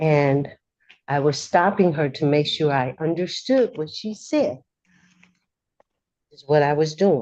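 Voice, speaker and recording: Her voice very deep and low with a dark, mellow tone, a woman speaks at a fairly slow pace with long, frequent pauses and big swings in loudness. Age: 60s. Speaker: defendant in court. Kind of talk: courtroom exchange. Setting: courtroom. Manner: halting.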